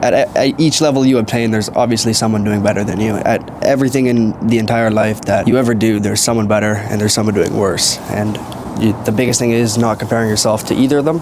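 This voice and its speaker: Delivered at a very fast pace in a Canadian accent, the speech has fairly even intonation and very even loudness, with audible room echo and noticeable background noise. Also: man, medium pitch for a man. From Canada. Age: 20s. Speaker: trader and online entrepreneur. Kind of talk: casual monologue vlog. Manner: rambling, casual.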